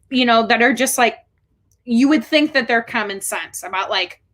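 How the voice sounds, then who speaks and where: A woman's high, bright, sharp voice in a Chicago accent. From Chicago, Illinois. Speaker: special educator. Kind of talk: interview.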